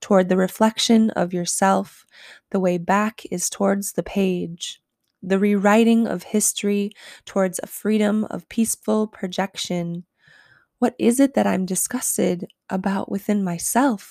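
An ordinary speaking voice from a woman at medium pitch, fairly slow and fairly even in intonation, dry and close with no echo on a very clean recording with a silent background. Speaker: poet and podcast host. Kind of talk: poetry reading, spoken word. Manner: lyrical, rhythmic, rhyming cadence.

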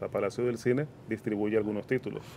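A man's dark, mellow tone. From Venezuela, Caracas. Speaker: cinema chain operations manager. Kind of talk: radio interview.

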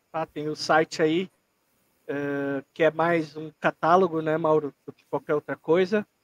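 Monotone and flat, a fairly high-pitched man speaks fairly slowly with big swings in loudness. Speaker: podcast co-host. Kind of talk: casual chat.

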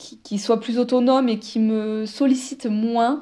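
A woman's somewhat breathy voice carries a dark, mellow tone. Her intonation is flat and monotone over a quiet background. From southern France, Toulouse. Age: 30s. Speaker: podcaster. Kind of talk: personal monologue, like a voice note. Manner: spontaneous, hesitant with many fillers.

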